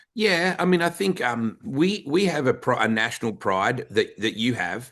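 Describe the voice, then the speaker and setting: Speaking with an Australian accent at a moderate pace, a man with a fairly high pitch shows vocal fry and very wide pitch swings against a quiet background. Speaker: podcast host. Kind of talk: interview conversation.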